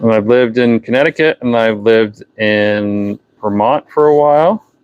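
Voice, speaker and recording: A man with a slight New Hampshire accent speaks at a medium pitch with ordinary pitch variation. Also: moderate pace. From New Hampshire, US. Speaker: fishing tackle seller and livestreamer. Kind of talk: casual livestream chat. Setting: unheated workshop, livestream.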